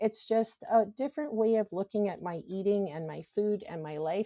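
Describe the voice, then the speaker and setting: A woman's voice has a dark, mellow tone and a dry, close sound with no echo, set against a quiet background. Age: 40s. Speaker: podcaster sharing weight loss journey. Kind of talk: casual monologue.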